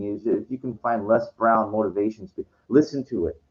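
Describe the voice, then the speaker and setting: The pitch rises and falls in an ordinary way. The pace is moderate. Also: man. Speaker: vlogger. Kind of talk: casual monologue. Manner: halting.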